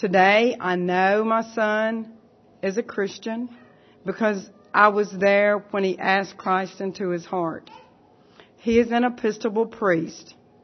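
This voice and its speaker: In a normal speaking voice, a woman talks fairly slowly at a medium pitch with fairly even intonation. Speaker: church member giving testimony. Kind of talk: testimony. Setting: church.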